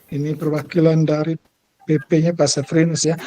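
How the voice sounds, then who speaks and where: In a dry, close recording with no echo, a man uses a normal speaking voice with fairly high pitch at a fairly quick pace. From Indonesia, East Manggarai, Flores. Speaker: school principal and teacher-training facilitator. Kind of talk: online training session facilitation. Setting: video call.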